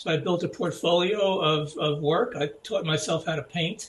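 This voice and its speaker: A man's fairly high voice over noticeable background noise. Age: 70s. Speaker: graphic designer. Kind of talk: interview. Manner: halting, many fillers.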